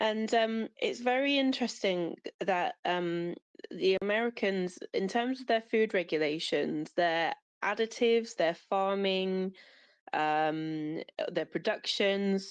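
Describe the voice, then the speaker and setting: A woman with a British accent speaks at a very slow pace and medium pitch, with ordinary pitch variation. Her loudness stays very even over a quiet background. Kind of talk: casual chat. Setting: audio chat space.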